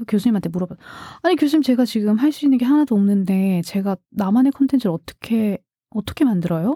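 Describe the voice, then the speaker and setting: Very clean, with a silent background and a dry, close sound with no echo, the recording captures a woman's somewhat breathy, medium-pitched voice with lively intonation. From South Korea, outside Seoul. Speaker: podcast producer and former radio broadcaster. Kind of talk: casual interview conversation. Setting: studio.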